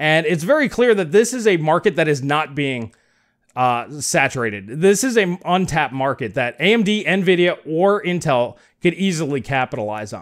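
A man speaks with a fairly high pitch and very wide pitch swings. The background is quiet. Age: 40s. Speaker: tech YouTuber. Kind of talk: video commentary. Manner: conversational. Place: home room. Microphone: studio mic.

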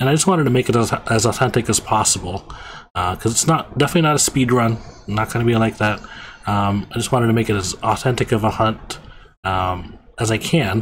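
A man talks at a fairly quick pace. His pitch is fairly low, with ordinary variation.

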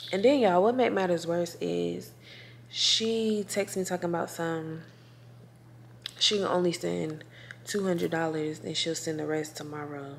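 A woman's fairly low voice at a fairly slow pace, with long, frequent pauses, ordinary pitch variation and light background noise. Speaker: vlogger. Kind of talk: casual vlog chat. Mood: annoyed, venting about hairstylist. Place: home room. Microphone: phone near.

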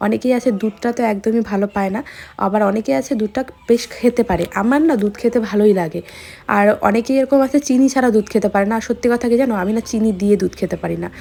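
A woman with a fairly high pitch and a dark, mellow tone. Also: ordinary pitch variation. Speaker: lifestyle vlogger. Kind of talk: casual vlog narration. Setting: home kitchen, handheld camera.

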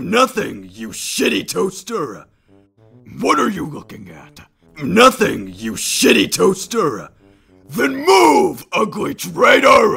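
Music plays in the background as a man in a put-on character voice, raspy and raised to project, speaks at a very slow pace. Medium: dub.

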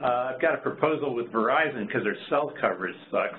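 A man speaks in a normal speaking voice at medium pitch and a moderate pace, with light background noise. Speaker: principal investigator of a research observatory. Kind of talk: online project meeting. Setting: video call. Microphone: video call.

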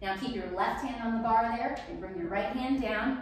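A fairly high-pitched woman's voice at a fairly slow pace with ordinary pitch variation, strong room echo and light background noise. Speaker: rebounding fitness instructor. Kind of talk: workout instruction. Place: home room. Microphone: camera far.

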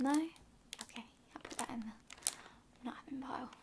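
Loud background noise fills the clip. Over it, a woman speaks at a fairly slow pace. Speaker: stationery haul vlogger. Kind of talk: casual vlog chat. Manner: soft-spoken ASMR shopkeeper voice. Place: home room. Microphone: phone near.

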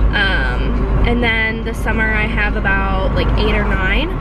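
A woman speaks over music in the background, the sound dry with no echo. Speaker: vlogger. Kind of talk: casual vlog chat. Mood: relaxed, candid. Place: car. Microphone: phone near.

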